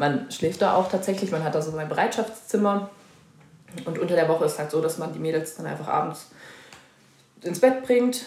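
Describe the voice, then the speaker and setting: Amid noticeable background noise and audible room echo, a woman with a fairly low pitch and lively intonation talks at a moderate pace with long, frequent pauses. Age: 20s. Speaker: dual-study student in social pedagogy. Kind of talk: casual interview.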